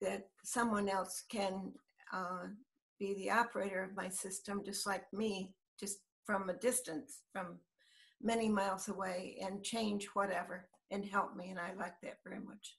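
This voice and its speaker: Somewhat breathy, a woman speaks fairly slowly at a medium pitch. Her intonation is monotone and flat, and the background is quiet. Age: 80s+. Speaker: interviewee. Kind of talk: interview answer. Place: home room. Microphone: video call.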